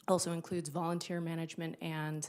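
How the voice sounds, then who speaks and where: Her voice sits very deep and low for a woman as she talks at a moderate pace. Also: very clean recording, silent background. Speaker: city emergency management coordinator. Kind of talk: presentation to city council. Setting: city council meeting. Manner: loud.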